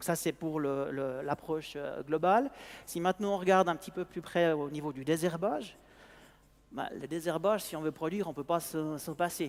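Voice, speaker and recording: A man with a Swiss accent talks at a moderate pace with ordinary pitch variation. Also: fairly high pitch for a man. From Switzerland. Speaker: sales manager of an agricultural robotics company. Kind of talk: conference talk. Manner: halting, many hesitations and repetitions.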